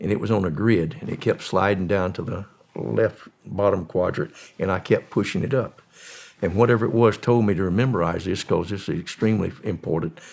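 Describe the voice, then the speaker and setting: With a Southern US accent, a man talks at a fairly quick pace, his fairly low pitch showing ordinary pitch variation. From US South, Florida. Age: 80s+. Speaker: former drug smuggler. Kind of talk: interview storytelling.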